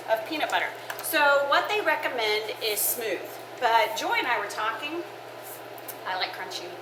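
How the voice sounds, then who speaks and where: A woman's raised, projected, high voice with very wide pitch swings and long, frequent pauses, amid audible room echo and noticeable background noise. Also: moderate pace. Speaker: church women's ministry cooking show host. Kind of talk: casual cooking show chat. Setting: kitchen with oven fans running. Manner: loud; chatty, with fillers.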